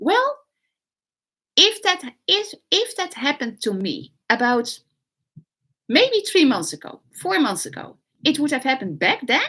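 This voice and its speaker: A woman with a Dutch accent speaks in a raised, projected voice, high in pitch with very wide pitch swings and a bright, sharp tone. Her pace is fairly slow, with long, frequent pauses. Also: big swings in loudness. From Netherlands. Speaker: online business coach. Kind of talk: live stream talk. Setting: livestream. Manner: halting, many fillers.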